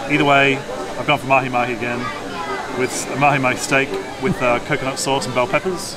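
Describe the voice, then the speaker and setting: Over clear background music, the speaker goes at a very fast pace. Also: man. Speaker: travel vlogger. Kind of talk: casual vlog chat. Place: cafe. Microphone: phone near.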